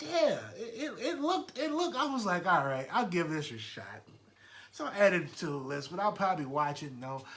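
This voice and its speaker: Loud and fairly quick, a man talks at a high pitch with very wide pitch swings, with audible room echo and noticeable background noise. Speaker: podcast host. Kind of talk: casual chat. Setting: live stream at home. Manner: halting, repeats words.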